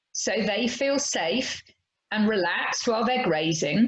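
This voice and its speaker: Speaking at a very slow pace with an English accent, a woman lets her pitch swing very widely. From England. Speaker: horse trainer. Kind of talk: podcast interview.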